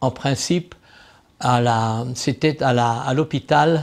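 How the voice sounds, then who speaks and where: On a very clean recording with a silent background, a man speaks very slowly in a medium pitch with ordinary pitch variation. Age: 80s+. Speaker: retired military helicopter pilot. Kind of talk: interview answer, recounting a rescue.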